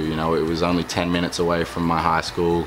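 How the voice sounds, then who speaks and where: An Australian accent comes through amid noticeable background noise. Audible room echo surrounds the voice. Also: man. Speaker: professional football player. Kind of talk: interview. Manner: hesitant, many fillers.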